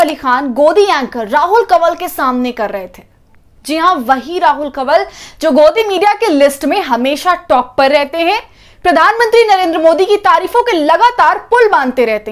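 Against a quiet background, a woman speaks at an extremely high pitch and a fairly slow pace with lively intonation. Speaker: news presenter. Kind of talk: news commentary. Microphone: lapel.

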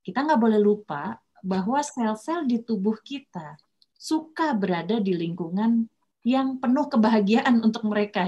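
A somewhat breathy woman speaks at a moderate pace with lively intonation and big swings in loudness. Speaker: doctor giving a lecture. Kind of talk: lecture. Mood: friendly, playful explaining. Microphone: video call.

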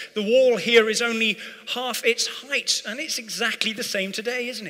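The voice is raised and projected. It belongs to a man. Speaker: preacher. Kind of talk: sermon. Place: church. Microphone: headset.

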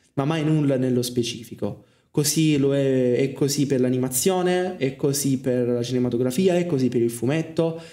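Fairly quick male speech with a dark, mellow tone over a quiet background. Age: 20s. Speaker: film student and streamer; streamer. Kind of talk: casual monologue. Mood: reflective, personal. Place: home room. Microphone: studio mic.

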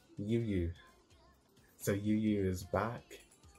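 Faint music plays in the background as a man speaks at a fairly low pitch with fairly even intonation. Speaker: anime reaction reviewer. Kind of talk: casual reaction commentary. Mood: cheerful, amused. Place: home room. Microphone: earbuds.

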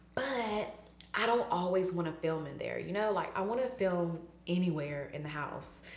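A woman speaks at a fairly slow pace with ordinary pitch variation. Audible room echo surrounds her voice. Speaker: beauty vlogger. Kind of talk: casual vlog chat. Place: bathroom. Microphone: camera far.

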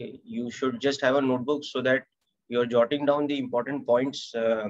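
Against a quiet background, a man is speaking. His intonation is fairly even. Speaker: physics teacher. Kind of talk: lecture. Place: home room. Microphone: webcam.

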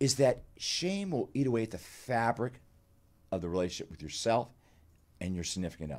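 At a very fast pace, a man speaks with very wide pitch swings, big swings in loudness and long, frequent pauses. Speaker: clinical psychologist and author; guest. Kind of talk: interview. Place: studio. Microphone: studio mic.

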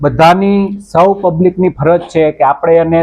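A man talks in a voice that is high for a man. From Gujarat, Amreli district. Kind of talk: interview.

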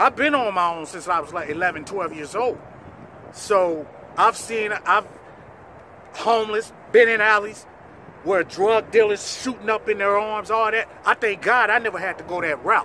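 Over light background noise, a man projects a raised voice at a high pitch with ordinary pitch variation. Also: moderate pace, dry sound with no echo. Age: 40s. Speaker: documentary subject. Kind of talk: personal testimony. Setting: in front of cameras. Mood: earnest, grateful, defiant. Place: open country.

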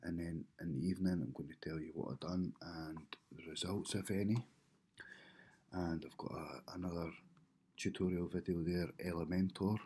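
A man speaks at a moderate pace in a very deep, low voice with a dark, mellow tone and fairly even intonation. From United Kingdom. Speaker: web designer. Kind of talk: casual vlog talk to camera. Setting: home, early morning. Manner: whispered. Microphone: webcam.

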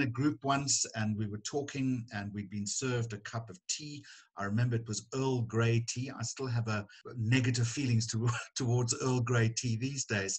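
Over a quiet background, a man's somewhat breathy voice keeps a fairly even intonation. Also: moderate pace. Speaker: journalist guest. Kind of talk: interview answer. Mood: warm, humorous. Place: home room. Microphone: video call.

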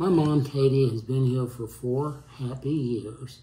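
A man's dark, mellow, somewhat breathy voice at a fairly slow pace, with fairly even intonation and audible room echo. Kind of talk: testimonial. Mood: warm, appreciative. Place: home room.

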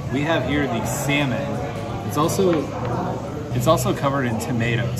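With music behind him, a man moves along at a fairly quick pace. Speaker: food vlogger. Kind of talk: casual vlog chat. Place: cafe. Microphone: phone near.

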